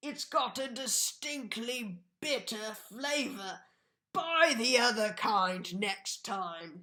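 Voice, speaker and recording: A put-on character voice sounds female and sits at a fairly high pitch. It moves at a very slow pace. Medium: read story. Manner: grumbling.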